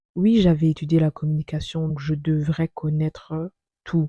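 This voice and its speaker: A woman's very deep, low voice at a fairly slow pace, dry and close with no echo, music playing in the background. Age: 20s. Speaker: vlogger. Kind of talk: personal narration.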